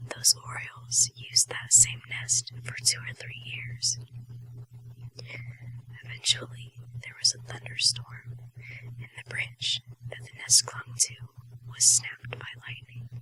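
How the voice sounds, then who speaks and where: A woman with a very deep, low pitch speaks monotonously and flatly at a fairly slow pace, with long, frequent pauses, big swings in loudness, and noticeable background noise. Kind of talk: ASMR whispered short story reading. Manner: whispered, soft.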